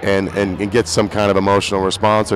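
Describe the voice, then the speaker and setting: Over noticeable background noise, a man speaks fairly quickly in a fairly low, monotone, flat voice. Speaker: singer-songwriter. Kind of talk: interview. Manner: halting.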